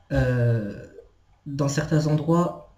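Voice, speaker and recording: Audible room echo colors the medium-pitched voice of a man. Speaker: video blogger. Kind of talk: rant. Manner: halting.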